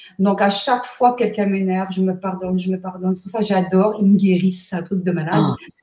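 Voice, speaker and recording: Talking very fast with hardly any pauses, a woman speaks at a medium pitch over noticeable background noise. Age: 60s. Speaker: numerologist and therapist. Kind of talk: interview. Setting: live stream. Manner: energetic.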